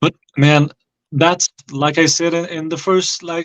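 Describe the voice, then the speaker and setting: A man talks at a moderate pace in a fairly high pitch, with a dry, close sound and no echo. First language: French. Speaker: YouTuber. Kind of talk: heated debate. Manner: halting.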